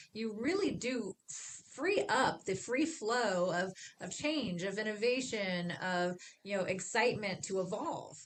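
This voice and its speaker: A woman with a plain, everyday voice, fairly high in pitch, and lively intonation. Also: fairly slow pace. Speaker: management consultant. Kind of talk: casual conversation.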